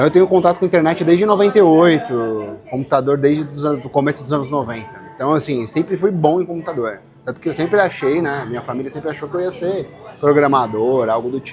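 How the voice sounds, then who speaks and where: Over music in the background, a man with a fairly high pitch speaks very fast with lively intonation. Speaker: furniture designer. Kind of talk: casual interview chat.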